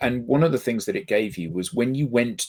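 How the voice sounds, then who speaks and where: A man with a British accent at a fairly quick pace, in a very clean recording with a silent background. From Britain. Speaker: business talk show host. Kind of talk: casual chat.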